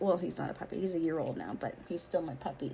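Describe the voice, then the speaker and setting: Somewhat breathy, a woman talks in an animated tone. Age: 40s. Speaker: vlogger. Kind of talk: casual chat.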